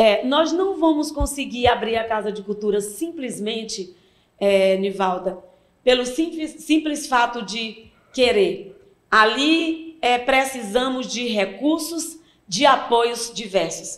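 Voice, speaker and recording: A woman's high-pitched voice, very slow pace and lively intonation. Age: 60s. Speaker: cultural association president. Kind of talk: interview.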